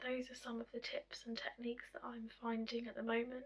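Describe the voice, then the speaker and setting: Noticeable background noise surrounds the recording. A woman with a high-pitched voice speaks at a moderate pace. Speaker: vlogger. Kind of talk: personal vlog. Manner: hesitant, many fillers. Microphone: audio has gone quiet.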